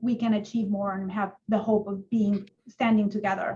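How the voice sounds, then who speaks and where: A woman with a Spanish accent speaks in a somewhat breathy, medium-pitched voice with monotone, flat intonation. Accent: Spanish accent in English, lasting. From Colombia. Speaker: judge. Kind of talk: panel discussion. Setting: webinar video call.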